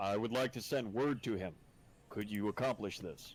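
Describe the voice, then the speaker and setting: A man's put-on character voice, fairly low in pitch, at a moderate pace with ordinary pitch variation. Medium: actual play. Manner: formal, measured.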